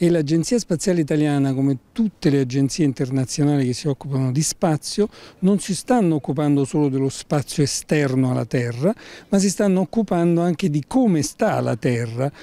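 At a fairly quick pace, a man with a fairly high pitch and a dark, mellow tone uses lively intonation, very even loudness and a dry sound with no echo. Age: 60s. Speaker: environmental organization spokesperson. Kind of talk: interview. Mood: calm, explanatory. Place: street. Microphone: handheld.

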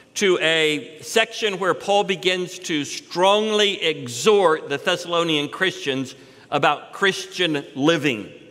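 Very slowly, a man talks in a high voice. His pitch varies in an ordinary way. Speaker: preacher. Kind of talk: sermon. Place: church. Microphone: headset.

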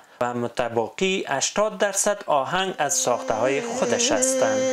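At a moderate pace, a man speaks with very wide pitch swings in a very clean recording with a silent background. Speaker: news reporter. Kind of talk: news report narration.

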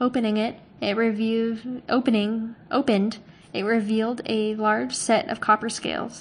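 The voice sounds natural. A passage is being read aloud.

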